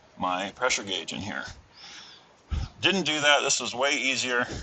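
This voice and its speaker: The delivery comes at a fairly quick pace. Noticeable background noise can be heard. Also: man. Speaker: auto mechanic. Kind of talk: tutorial. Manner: casual, many fillers.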